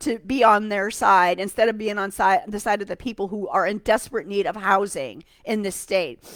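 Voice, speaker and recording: On a very clean recording with a silent background, a woman at medium pitch speaks in an animated tone at a moderate pace. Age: 60s. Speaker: political commentator, live streamer. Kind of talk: live stream commentary on a news article. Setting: home live stream from an easy chair. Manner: animated, ranting.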